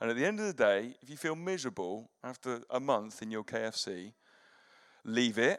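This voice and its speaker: Over a very clean recording with a silent background, a man with an English accent talks at a moderate pace and medium pitch, with lively intonation and big swings in loudness. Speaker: pastor. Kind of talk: sermon. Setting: church.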